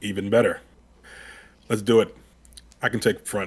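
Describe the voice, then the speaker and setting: Putting on a character voice, a man sounds gruff and raspy at medium pitch and a moderate pace. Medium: actual play. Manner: gruff, blunt.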